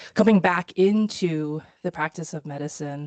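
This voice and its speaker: A woman with a Chinese accent at a fairly low pitch and moderate pace, her dry, close sound free of echo against a quiet background. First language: Mandarin Chinese. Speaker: physician. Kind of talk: lecture.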